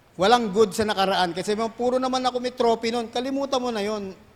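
A man with a high pitch and ordinary pitch variation speaks at a moderate pace. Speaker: pastor. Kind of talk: sermon.

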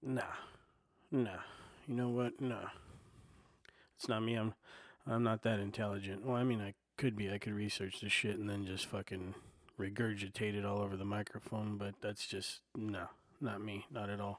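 Soft-spoken and fairly low-pitched, a man talks at a moderate pace with fairly even intonation and long, frequent pauses. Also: very clean recording, silent background. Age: 40s. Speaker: podcaster and aspiring comedian. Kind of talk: casual solo monologue. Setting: home recording on a portable recorder. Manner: soft-spoken, filler-heavy; not loud, laid-back listener.

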